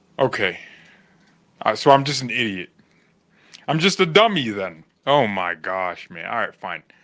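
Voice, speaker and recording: With long, frequent pauses, a man's bright, sharp, medium-pitched voice swings very widely in pitch. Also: moderate pace, big swings in loudness. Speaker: football fan channel host. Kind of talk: casual livestream chat. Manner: animated.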